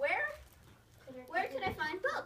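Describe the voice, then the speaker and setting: Whiny and squeaky, a woman in a put-on character voice speaks at an extremely high pitch with very wide pitch swings. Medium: read story. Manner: whiny, repetitive.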